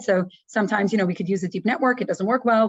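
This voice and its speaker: A woman talks at a very fast pace. Her pitch is medium, with ordinary pitch variation. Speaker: professor, researcher in signal processing. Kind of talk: lecture.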